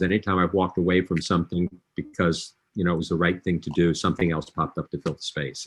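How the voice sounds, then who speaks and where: At a very fast pace, a man speaks with a very deep, low pitch. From US South, Alexandria, Virginia. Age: 70s. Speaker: diversity consultant. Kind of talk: interview. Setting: live online session.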